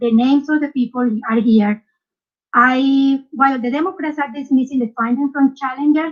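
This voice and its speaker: The speaker has a Spanish accent and fairly even intonation. The pace is moderate. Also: woman, high pitch for a woman. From South America. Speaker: poll challenger. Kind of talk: testimony.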